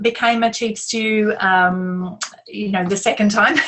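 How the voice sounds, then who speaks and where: A woman with an Australian accent speaks at a very slow pace. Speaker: yacht crew coach, interviewer. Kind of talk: interview.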